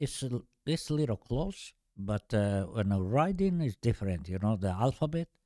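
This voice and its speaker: A man's medium-pitched voice with an Albanian accent, a dark, mellow tone, very wide pitch swings and a moderate pace, on a very clean recording with a silent background and a dry, close sound with no echo. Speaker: podcast guest. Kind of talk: casual chat. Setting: studio. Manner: halting.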